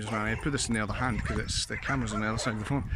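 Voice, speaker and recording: A man speaks with a Scottish accent. Noticeable background noise and audible room echo surround his voice. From Scotland. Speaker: vlogger. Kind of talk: casual vlog chat. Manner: casual, meandering.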